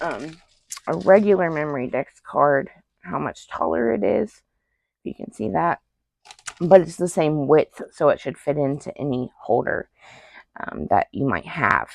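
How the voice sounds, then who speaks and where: With vocal fry and a very deep, low pitch, a woman speaks with lively intonation and takes long, frequent pauses. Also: fairly slow pace. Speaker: paper crafter. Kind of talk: craft tutorial. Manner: casual, many fillers.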